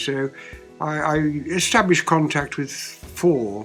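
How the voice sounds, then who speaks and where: A man's fairly high-pitched voice over music in the background. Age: 80s+. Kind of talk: interview answer.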